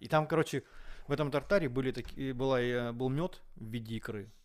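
A man talks in an unremarkable speaking voice at a medium pitch, with ordinary pitch variation. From Moscow, Russia. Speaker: chef. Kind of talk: casual chat.

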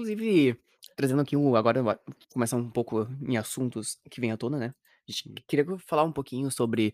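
Recorded very cleanly against a silent background, dry and close with no echo, a medium-pitched man with a southern Brazilian accent speaks at a moderate pace with ordinary pitch variation. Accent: gaucho Brazilian Portuguese. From Rio Grande do Sul, Brazil. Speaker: podcast co-host. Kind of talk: casual chat.

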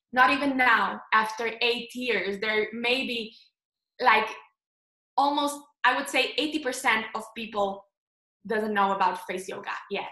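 At a very slow pace with long, frequent pauses, a woman in a Slovenian accent speaks in a bright, sharp tone with ordinary pitch variation, and audible room echo surrounds her. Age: 20s. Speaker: face yoga instructor. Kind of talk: interview.

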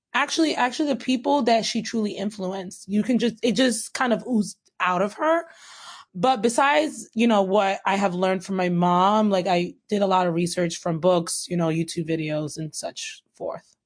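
A woman with an unremarkable speaking voice talks at a moderate pace and medium pitch with lively intonation over a quiet background. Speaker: podcast host. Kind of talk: casual chat.

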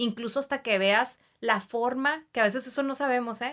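At a moderate pace, a woman with a high pitch speaks on a very clean recording with a silent background. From Mexicali, Baja California, Mexico. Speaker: clinical psychologist. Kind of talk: interview. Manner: hesitant fillers.

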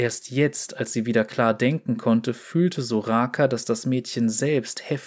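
Plain reading aloud, its pitch varying in an ordinary way

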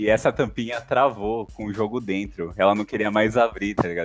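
Here is a man with an ordinary speaking voice. He talks at a fairly quick pace in a fairly low pitch. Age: 20s. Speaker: podcast co-host. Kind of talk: casual chat.

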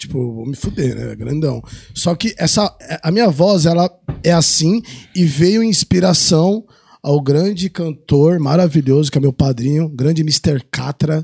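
The voice has a dark, mellow tone, ordinary pitch variation and a fairly slow pace, recorded with a dry, close sound with no echo. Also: man, fairly high pitch for a man. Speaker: adult film actor. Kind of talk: casual chat. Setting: studio. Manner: varying loudness.

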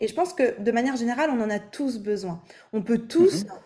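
At a moderate pace, a woman speaks with a fairly high pitch, a dark, mellow tone and ordinary pitch variation. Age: 20s. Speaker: vocal coach. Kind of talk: casual interview.

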